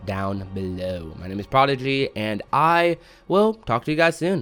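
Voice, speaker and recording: A man speaks over music playing in the background. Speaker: gaming youtuber. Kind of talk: commentary and outro. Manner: casual, filler words.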